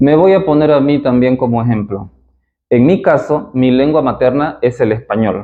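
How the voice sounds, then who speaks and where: A man speaks at medium pitch with an eastern Bolivian accent. His pace is moderate and his pitch varies in an ordinary way. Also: very even loudness. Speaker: philologist, literature educator. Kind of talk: lecture. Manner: formal.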